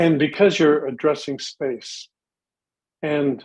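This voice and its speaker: With fairly even intonation, a man talks at a fairly high pitch. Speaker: vocal coach. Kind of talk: panel discussion on live show. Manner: fast, talks without pause.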